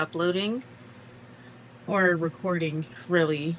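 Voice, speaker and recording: Soft-spoken and fairly low in pitch, a woman talks at a very slow pace with a bright, sharp tone. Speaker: crochet content creator and small business owner. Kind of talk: casual chat.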